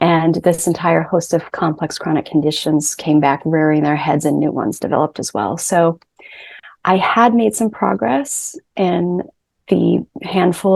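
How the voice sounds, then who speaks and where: A woman with an American accent talks at a moderate pace in a normal speaking voice. Her pitch is fairly low and her intonation lively. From US Northeast, Rhode Island. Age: 30s. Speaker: chronic illness patient. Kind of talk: interview, personal testimony.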